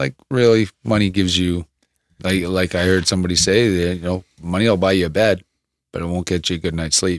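A man with a Canadian accent has a very deep, low pitch. His delivery is fairly quick with fairly even intonation. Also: dry, close sound with no echo. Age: 40s. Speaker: former boxer and fitness coach. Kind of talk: casual interview conversation. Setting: studio.

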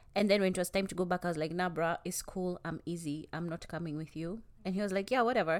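This woman talks at a very fast pace with hardly any pauses. Her pitch is fairly low for a woman. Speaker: podcast co-host. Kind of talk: casual chat.

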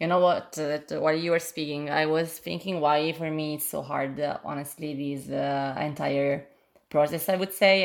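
A woman with an Italian accent speaks fairly slowly in a very deep, low voice with a flat monotone. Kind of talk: casual chat. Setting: video call. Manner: halting.

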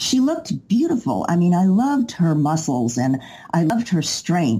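The voice is somewhat breathy, with a dark, mellow tone. It moves at a moderate pace through very wide pitch swings. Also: woman. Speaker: ninja athlete, dancer and actor. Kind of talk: casual interview.

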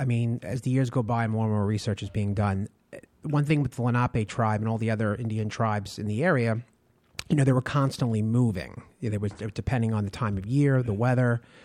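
A man with an American accent has an ordinary speaking voice at medium pitch. He talks at a fairly quick pace with ordinary pitch variation. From Long Island, New York. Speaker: tour guide and historian. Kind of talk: interview.

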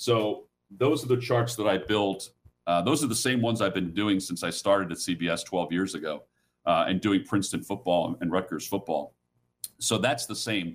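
Over a very clean recording with a silent background, a man speaks at a moderate pace in a fairly low pitch, an unremarkable speaking voice with ordinary pitch variation. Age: 50s. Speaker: sports play-by-play broadcaster. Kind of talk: interview.

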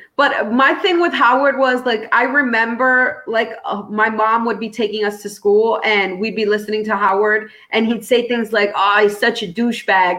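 A woman's fairly high voice at a moderate pace, with hardly any pauses, ordinary pitch variation, and noticeable background noise. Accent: New York. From New York City, Brooklyn. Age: 30s. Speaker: comedian and former radio host. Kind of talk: casual interview chat.

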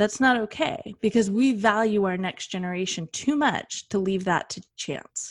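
Speaking at a moderate pace with hardly any pauses, a woman with a Western US accent uses lively intonation and a medium pitch on a very clean recording with a silent background. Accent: Western American. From Western United States. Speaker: advocate and foundation founder. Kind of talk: interview. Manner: animated.

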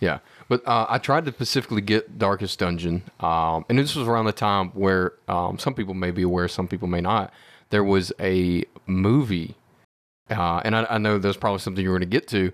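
On a very clean recording with a silent background, a man speaks fairly quickly in a plain, everyday voice, fairly low in pitch, with ordinary pitch variation. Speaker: tech support for the show. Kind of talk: casual chat.

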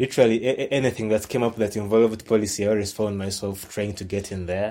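Fairly low, dark and mellow male voice with a Ugandan accent, at a fairly quick pace. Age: 20s. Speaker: science communicator. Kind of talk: casual interview. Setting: video call.

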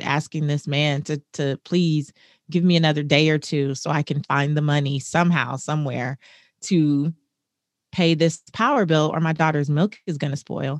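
An animated woman with a very deep, low pitch and an American accent, at a moderate pace against a quiet background. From US West Coast, South Central Los Angeles. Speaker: personal finance author and speaker. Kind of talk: interview, personal testimony. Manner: animated, laughs often.

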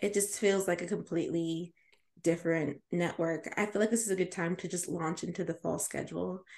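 In a plain, everyday voice, a woman talks at a fairly quick pace, fairly low in pitch and with fairly even intonation, against a quiet background. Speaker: podcast host. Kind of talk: casual chat.

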